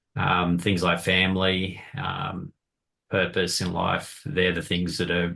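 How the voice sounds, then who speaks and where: A man speaks fairly slowly in a very deep, low voice with a bright, sharp tone. The background is quiet. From Australia. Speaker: podcast co-host. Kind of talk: casual chat.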